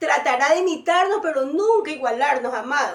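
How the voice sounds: With ordinary pitch variation, a woman speaks at a high pitch.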